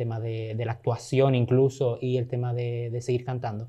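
The man talks fairly slowly, and the background is quiet. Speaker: podcast host. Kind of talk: casual interview. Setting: studio. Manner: animated. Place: studio. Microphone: studio mic.

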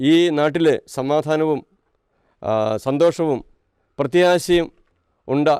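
A man's fairly high voice with fairly even intonation, in a dry, close sound with no echo. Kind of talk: statement to media.

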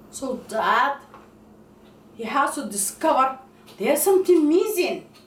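With audible room echo around her, a woman talks in a high voice. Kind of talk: comedic skit monologue. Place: kitchen. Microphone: camera far.

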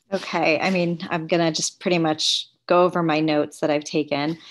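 A woman with a plain, everyday voice talks at a moderate pace, her fairly low pitch showing ordinary variation. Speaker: city councilmember. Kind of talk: meeting discussion. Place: home room. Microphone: webcam.

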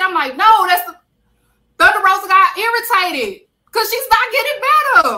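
A raised, projected voice with an American accent moves at a fairly quick pace. The tone is animated, bright and sharp. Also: woman. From Texas. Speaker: wrestling podcast host. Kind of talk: casual chat.

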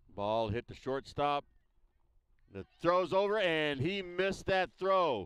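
A man with a normal speaking voice, fairly high in pitch, in a dry, close recording with no echo. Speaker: sports commentator. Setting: outdoors at a baseball field broadcast.

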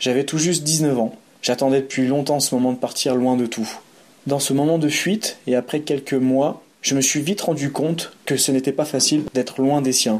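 Using a normal speaking voice, a man talks at a moderate pace with fairly even intonation and very even loudness. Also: fairly high pitch for a man. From France, Savoie (Aix-les-Bains). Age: 30s. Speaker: boxing and self-defence practitioner, traveller. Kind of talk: first-person narrative read aloud.

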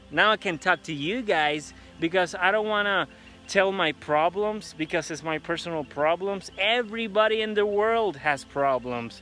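A man's raised, projected voice, with a dry sound with no echo and faint music in the background. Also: ordinary pitch variation, moderate pace. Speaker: vlogger. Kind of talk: casual vlog chat. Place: street. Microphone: phone near.

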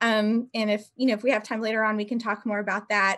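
A woman talks at a moderate pace. Her intonation is monotone and flat over a quiet background. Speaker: panelist. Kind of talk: panel discussion talk. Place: home room. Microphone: video call.

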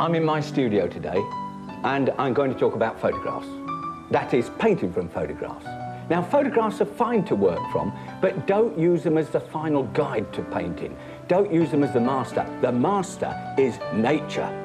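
Clear background music behind a man talking at a moderate pace. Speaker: painting teacher. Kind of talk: tutorial. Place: studio.

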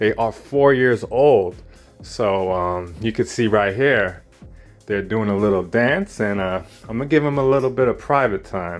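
A man talks at a fairly slow pace with ordinary pitch variation. Faint music sits in the background. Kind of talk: casual vlog chat. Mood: pleased, enthusiastic. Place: home room. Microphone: phone near.

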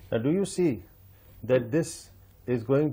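A man's fairly high, somewhat breathy voice with a dark, mellow tone, lively intonation and a moderate pace. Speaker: interviewer. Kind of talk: interview.

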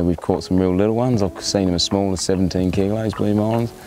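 A man speaks at a fairly quick pace with ordinary pitch variation, on a dry recording with no echo and light background noise. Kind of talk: interview answer. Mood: relaxed, candid, swears casually. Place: waterside.

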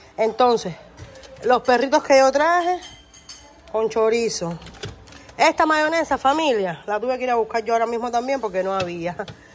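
Over light background noise, a woman talks at a fairly quick pace in a high pitch with lively intonation. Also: long, frequent pauses. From Cuba. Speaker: family vlogger; vlogger. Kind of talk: casual vlog chat. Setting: at family home. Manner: animated. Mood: teasing, complaining. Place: kitchen. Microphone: phone near.

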